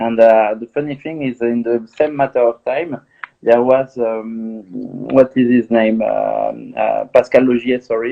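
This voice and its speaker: With a French accent, a man speaks fairly slowly at a medium pitch in a monotone, flat intonation. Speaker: film director. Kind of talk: interview. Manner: halting.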